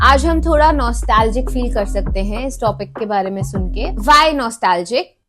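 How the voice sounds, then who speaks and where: A woman talking at a moderate pace with hardly any pauses, music in the background. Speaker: podcast host. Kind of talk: casual talk to camera.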